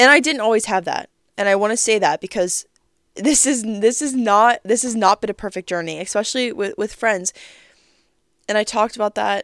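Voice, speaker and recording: A woman with a fairly high pitch, ordinary pitch variation and a fairly quick pace, an unremarkable speaking voice, dry, close sound with no echo, very clean recording with a silent background. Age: 20s. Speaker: podcast host. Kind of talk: casual monologue.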